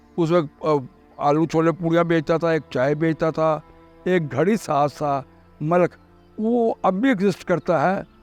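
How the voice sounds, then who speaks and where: A man talks in a high pitch. Music plays in the background. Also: ordinary pitch variation. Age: 80s+. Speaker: longtime resident recounting local history. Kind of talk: oral history interview answer.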